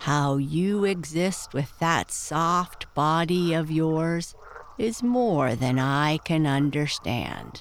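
This put-on character voice has a middle pitch. Its pace is very slow. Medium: read story. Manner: sleepy, blunt, curt.

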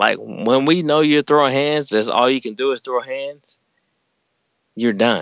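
Speaking with a Southern US accent, a man moves at a fairly slow pace with ordinary pitch variation. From Alabama. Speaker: active-duty Navy sailor. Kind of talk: casual chat. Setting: remote call from a closet at home.

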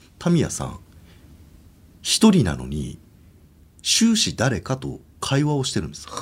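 The recording is very clean, its background silent. A man speaks at a moderate pace. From Hokkaido, Obihiro. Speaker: ghost story teller. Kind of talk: ghost story telling. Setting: studio.

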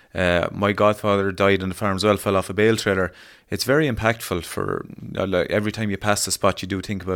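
A man's fairly low voice in an Irish accent, very fast, on a very clean recording with a silent background. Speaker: podcast co-host, farm advisor. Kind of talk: interview. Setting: on location at farm.

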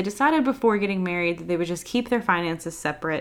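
A woman with a Southern US accent talks at a very fast pace with lively intonation. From US South. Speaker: podcast host. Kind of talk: casual chat.

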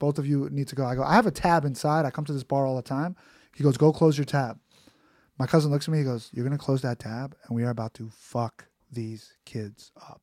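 On a very clean recording with a silent background, a man with a New York accent talks fairly quickly at a fairly high pitch with fairly even intonation. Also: big swings in loudness. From Queens, New York City. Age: 30s. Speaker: comedian. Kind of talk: casual chat. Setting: studio.

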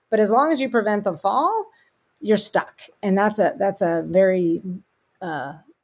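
A woman speaks in a normal speaking voice with an American accent, her pitch sitting mid-range. Her intonation is lively and her pace moderate. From US, Pittsburgh. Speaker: tech company CEO. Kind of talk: interview conversation.

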